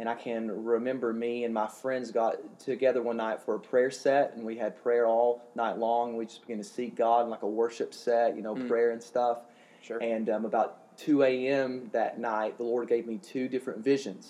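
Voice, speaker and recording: With a dark, mellow tone, a man speaks at medium pitch and a moderate pace in a monotone, flat delivery. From Kentucky. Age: 20s. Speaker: evangelist minister. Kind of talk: casual interview.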